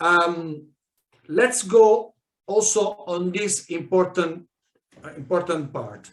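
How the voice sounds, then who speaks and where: A man with a high voice and a non-native accent speaks at a very slow pace. He leaves long, frequent pauses and uses ordinary pitch variation. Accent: non-native English speaker. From South America, Italian immigrant family. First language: Spanish. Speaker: network marketing leader. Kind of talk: training talk. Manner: halting, many fillers and restarts.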